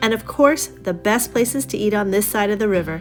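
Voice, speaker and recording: A woman speaks with music in the background. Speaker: travel vlogger. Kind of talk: travel narration voice-over.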